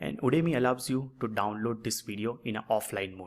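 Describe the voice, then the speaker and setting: A man's unremarkable speaking voice, fairly even intonation, moderate pace. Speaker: online course instructor. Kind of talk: tutorial.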